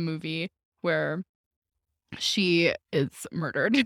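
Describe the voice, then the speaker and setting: This woman speaks in a fairly low pitch. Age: 20s. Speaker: podcast co-host. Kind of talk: casual chat.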